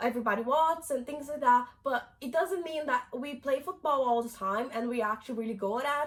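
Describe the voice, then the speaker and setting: This woman has a high pitch and a Brazilian Portuguese accent. She talks at a moderate pace with ordinary pitch variation. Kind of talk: casual talk to camera.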